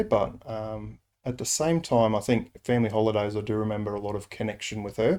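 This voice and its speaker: In an Australian accent, a man talks at a moderate pace with a dark, mellow tone. The recording is very clean, with a silent background. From Rockhampton, Queensland, Australia. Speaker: Salvation Army officer. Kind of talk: interview answer.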